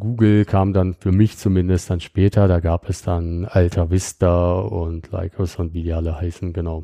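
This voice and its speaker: Very deep and low, a man's dark, mellow voice keeps a fairly even intonation in a dry, close sound with no echo. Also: moderate pace, quiet background. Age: 30s. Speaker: security startup founder. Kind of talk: technical interview. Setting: on site at company office in Bonn. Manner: frequent filler sounds.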